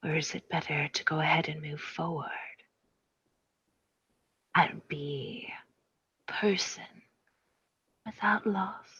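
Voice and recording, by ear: Slow and full of long, frequent pauses, the put-on character voice has a husky, rough edge and a bright, sharp tone. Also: woman, low pitch for a woman, ordinary pitch variation.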